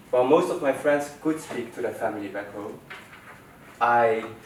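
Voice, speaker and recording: A man at medium pitch with ordinary pitch variation, audible room echo and noticeable background noise. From Netherlands. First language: Dutch. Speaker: student presenter. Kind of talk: personal story presentation.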